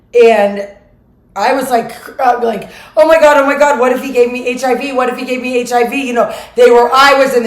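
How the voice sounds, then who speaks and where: Her pitch high and her intonation fairly even, a woman is heard with noticeable background noise and audible room echo. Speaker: vlogger. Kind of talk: casual monologue vlog.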